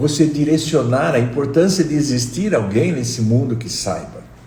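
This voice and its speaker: A man at medium pitch and moderate pace, lively intonation, audible room echo. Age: 60s. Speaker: meditation teacher. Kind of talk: live stream talk. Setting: live stream.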